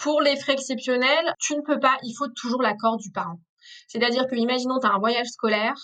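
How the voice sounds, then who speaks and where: A woman speaks at a fairly high pitch and a fairly quick pace. Her intonation stays fairly even. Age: 30s. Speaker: former lawyer, legal advisor. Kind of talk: interview on family law. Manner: hesitant, many fillers.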